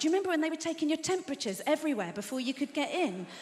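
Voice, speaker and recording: With an English accent, a woman speaks in very wide pitch swings over noticeable background noise. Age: 50s. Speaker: comedian. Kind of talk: stand-up. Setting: stage with audience.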